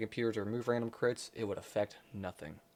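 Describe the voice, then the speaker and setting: With music in the background, a medium-pitched man speaks very fast with fairly even intonation. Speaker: gaming video creator. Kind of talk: scripted video essay narration. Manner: awkward, halting.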